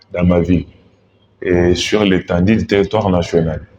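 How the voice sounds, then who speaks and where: A man's very deep, low pitch at a very slow pace. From DR Congo, Mbuji-Mayi. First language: Tshiluba (speaking French). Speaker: political candidate, lawyer. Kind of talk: interview. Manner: formal.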